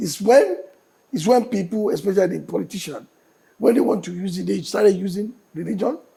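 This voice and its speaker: A man with a Nigerian accent speaks at a moderate pace in a high-pitched voice with a dark, mellow tone and ordinary pitch variation. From Nigeria, born in Enugu. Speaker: state governor. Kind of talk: TV interview answer.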